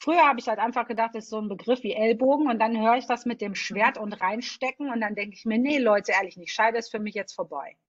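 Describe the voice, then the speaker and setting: A woman's very fast, fairly high, animated voice with hardly any pauses. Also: ordinary pitch variation. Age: 40s. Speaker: podcast host. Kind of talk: interview.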